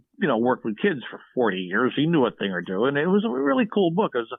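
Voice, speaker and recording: Here a man speaks in an American accent at a medium pitch. His intonation is lively. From Philadelphia area, US. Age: 60s. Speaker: former shopping TV host and songwriter. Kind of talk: casual podcast interview. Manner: animated storytelling, many repetitions.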